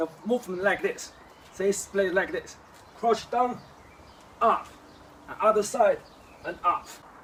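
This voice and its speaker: A man with long, frequent pauses over noticeable background noise. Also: fairly slow pace. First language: Chinese. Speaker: kung fu teacher. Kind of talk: tutorial. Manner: halting.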